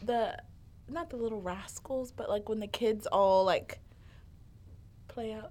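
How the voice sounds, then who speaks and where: The speaker has a Southern US accent and ordinary pitch variation. The delivery is fairly slow, with long, frequent pauses. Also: woman. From Alabama. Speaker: college student. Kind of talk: casual chat. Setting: studio.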